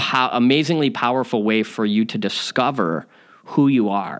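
An ordinary speaking voice from a man with an American accent, medium in pitch with ordinary pitch variation, at a moderate pace. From US Midwest, Chicago suburbs. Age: 40s. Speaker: podcast host. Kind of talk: personal storytelling monologue.

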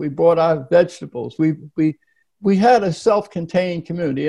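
With an American accent, a man speaks in a high pitch with a dark, mellow tone and ordinary pitch variation. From US Northeast, Philadelphia. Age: 80s. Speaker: nonprofit founder and author. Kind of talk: interview.

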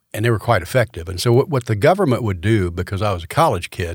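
A somewhat breathy man with an American accent at a fairly quick pace, on a very clean recording with a silent background. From Florida (Orlando). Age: 70s. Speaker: college president. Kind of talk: interview.

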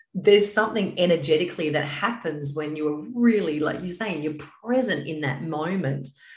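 The voice has an animated, upbeat tone and lively intonation, moving at a moderate pace. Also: woman, very deep, low pitch for a woman. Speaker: podcast host. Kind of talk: interview conversation.

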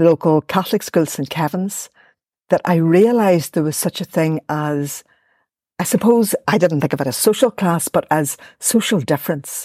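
A woman with a Belfast accent and a dark, mellow tone, lively in intonation, in a very clean, dry, close recording with a silent background and no echo. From Northern Ireland, West Belfast. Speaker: academic and poet. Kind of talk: interview conversation.

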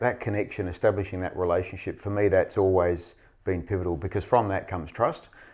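Someone with an Australian accent speaks at a very fast pace with ordinary pitch variation. The background is quiet. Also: man, very deep, low pitch for a man. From Western Australia. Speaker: mining executive. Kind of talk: interview.

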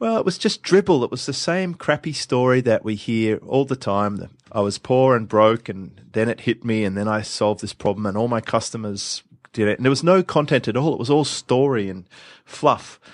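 A man's unremarkable speaking voice at medium pitch and moderate pace, lively intonation, quiet background, dry and close sound with no echo. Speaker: podcast host, marketing expert. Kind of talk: casual chat, podcast conversation. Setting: remote recording, host in Sydney.

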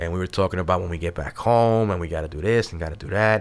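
In a very clean recording with a silent background, a man with a New York accent talks at a very fast pace with ordinary pitch variation. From New York City, Brooklyn. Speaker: army veteran, veteran services leader. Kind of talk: casual interview.

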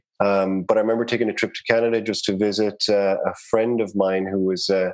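A man with an Irish accent talks very fast in a fairly low pitch. His intonation is flat and monotone. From Ireland, Cork City. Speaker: realtor and real estate investor. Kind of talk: interview conversation.

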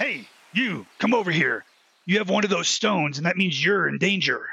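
This is a put-on character voice at a middle pitch. It moves along at a moderate pace. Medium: audio drama. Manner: chatty, punning.

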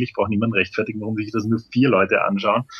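Noticeable background noise is present. Over it, a man talks at a medium pitch. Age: 30s. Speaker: videoblogger. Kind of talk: interview. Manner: halting.

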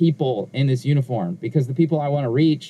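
A man's fairly high, somewhat breathy voice with a dark, mellow tone and an American accent, at a moderate pace with ordinary pitch variation. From Southern California, Inglewood. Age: 40s. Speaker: pastor. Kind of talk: interview conversation.

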